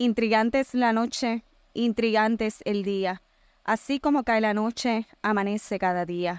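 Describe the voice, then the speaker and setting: On a very clean recording with a silent background and a dry, close sound with no echo, a woman speaks fairly slowly at a fairly high pitch with fairly even intonation. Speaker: poet. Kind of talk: poetry reading. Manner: flustered, laughing, nervous.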